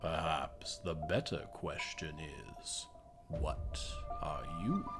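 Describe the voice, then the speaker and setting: A man's put-on character voice at a very slow pace, with clear music in the background. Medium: actual play. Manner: haughty, cold and mocking.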